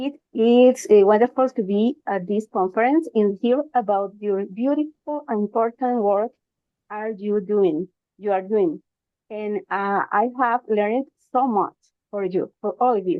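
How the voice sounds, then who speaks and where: Her pitch fairly high, a woman with a Spanish accent speaks at a fairly slow pace with ordinary pitch variation. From Costa Rica. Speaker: logotherapist, conference speaker. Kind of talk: conference presentation. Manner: halting, hesitant.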